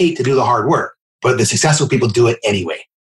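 This man talks at a very fast pace, somewhat breathy, with medium pitch and ordinary pitch variation. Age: 50s. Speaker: mortgage company founder. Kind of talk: interview.

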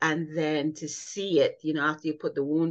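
Against a quiet background, a woman with a very deep, low pitch speaks at a moderate pace using fairly even intonation. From Jamaica. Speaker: nurse consultant and patient advocate. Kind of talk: interview.

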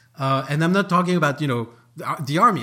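A man with a French accent speaks in an animated tone at a fairly high pitch. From France, Paris. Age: 40s. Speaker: author. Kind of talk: interview.

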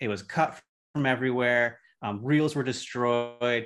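Against a quiet background, a man speaks in a plain, everyday voice. His pitch is medium and his intonation fairly even. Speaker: podcast co-host. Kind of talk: casual chat.

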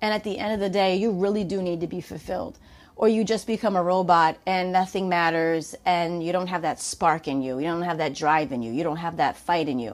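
With a New York accent, a woman talks at a fairly quick pace with hardly any pauses, a fairly low pitch and ordinary pitch variation, on a very clean recording with a silent background. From New York, Lower Westchester. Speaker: fitness and pain-relief coach, podcast host. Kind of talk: solo monologue podcast.

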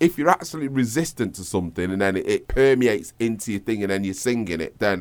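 A man with a Manchester accent at a fairly quick pace, with very wide pitch swings. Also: very clean recording, silent background. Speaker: singer and music producer. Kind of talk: casual interview chat. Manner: rambling, filler-heavy.

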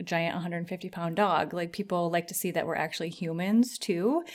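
A woman with a plain, everyday voice, medium in pitch, fairly quick in pace and fairly even in intonation, in a very clean recording with a silent background. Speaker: podcast host. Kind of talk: casual chat.

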